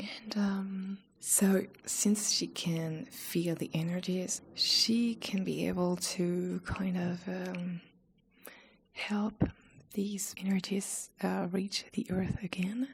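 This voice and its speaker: At a very slow pace, a woman of medium pitch speaks with fairly even intonation. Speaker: ASMR creator. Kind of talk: ASMR chat video. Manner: whispered, soft-spoken.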